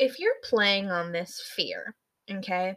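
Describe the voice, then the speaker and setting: In a US Midwestern accent, the speaker has a bright, sharp tone. The pace is fairly slow. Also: woman. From US Midwest, Michigan. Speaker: podcast co-host. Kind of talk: casual chat.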